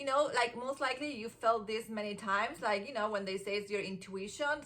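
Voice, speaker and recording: Using an Argentine accent, a woman talks at a fairly quick pace in a fairly high pitch with ordinary pitch variation. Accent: Argentine Spanish accent, noticeable. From Argentina. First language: Spanish. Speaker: self-help vlogger. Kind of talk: casual motivational monologue. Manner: animated, conversational with many fillers.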